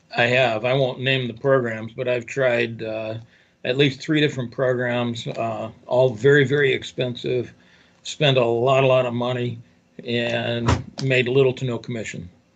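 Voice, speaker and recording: A man talks at a medium pitch. His pace is fairly slow and his intonation fairly even. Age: 60s. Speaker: newspaper owner and affiliate marketer. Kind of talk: interview. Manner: halting.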